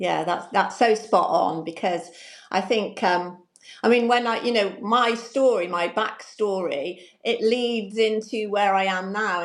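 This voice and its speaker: This woman has an unremarkable speaking voice. It sits fairly high, with ordinary pitch variation. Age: 60s. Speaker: confidence coach, retired banker. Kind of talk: interview.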